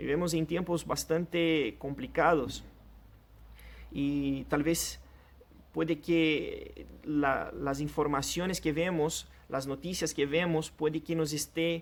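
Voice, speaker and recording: A man with a Portuguese accent speaks at a very slow pace with very even loudness. The recording is very clean with a silent background. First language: Portuguese (speaking Spanish). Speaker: pastor. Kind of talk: sermon.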